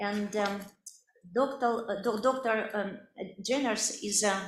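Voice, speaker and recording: Speaking in a Russian accent at a moderate pace, a woman with a fairly high pitch keeps her intonation fairly even amid audible room echo. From Siberia, Russia. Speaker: medical researcher. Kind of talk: lecture. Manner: halting, many fillers.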